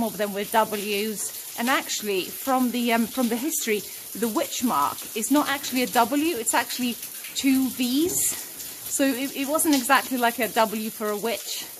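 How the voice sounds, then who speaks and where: A woman at a moderate pace, with ordinary pitch variation and noticeable background noise. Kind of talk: exploration commentary. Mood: fascinated, excited. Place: tunnel cave. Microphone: phone near.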